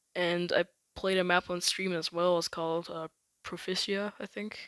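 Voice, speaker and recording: A woman with a fairly low pitch speaks at a fairly slow pace on a very clean recording, the background silent and the sound dry and close with no echo. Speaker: gaming youtuber. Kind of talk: casual monologue. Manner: halting, stuttering; unscripted, improvised.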